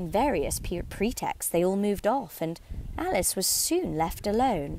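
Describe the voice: The clip consists of plain reading aloud.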